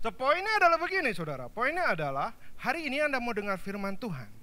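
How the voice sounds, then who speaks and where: In a raised, projected voice with very wide pitch swings, the speaker talks with a Javanese accent amid audible room echo. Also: man. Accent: Javanese-accented Indonesian. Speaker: pastor. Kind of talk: sermon. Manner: animated.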